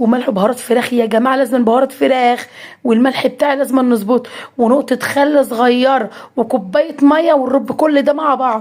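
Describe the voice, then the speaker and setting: A woman speaks in an Egyptian accent with a high pitch. Her tone is animated. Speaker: cooking vlogger. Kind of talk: cooking tutorial.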